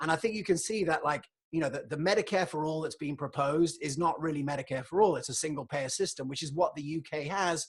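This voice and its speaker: Speaking at a very fast pace with hardly any pauses, a man with a fairly high pitch and a British accent is heard against a quiet background. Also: ordinary pitch variation. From England. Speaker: podcast host, health economist. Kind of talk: solo livestream monologue. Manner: conversational, filler-heavy.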